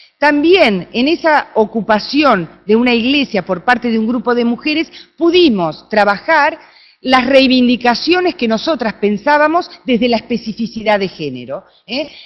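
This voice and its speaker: A woman's high voice with an Argentine accent, lively intonation, and a fairly slow pace. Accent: Argentine, noticeable. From Argentina. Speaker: researcher, conference speaker. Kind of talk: conference talk.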